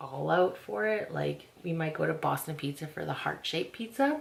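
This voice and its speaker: Speaking with a Canadian accent, a woman has a fairly low pitch. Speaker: lifestyle vlogger. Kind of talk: casual vlog chat. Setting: home beauty room. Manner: whispering.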